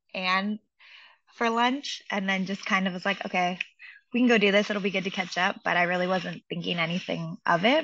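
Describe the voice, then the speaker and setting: This woman has a plain, everyday voice with an American accent. Her pitch is medium, with ordinary variation, at a moderate pace. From US Pacific Northwest, Seattle. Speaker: coach's wife. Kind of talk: interview.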